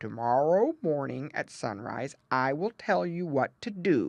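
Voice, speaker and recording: Against a quiet background, a put-on character voice at a middle pitch moves at a fairly slow pace. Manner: solemn, slow.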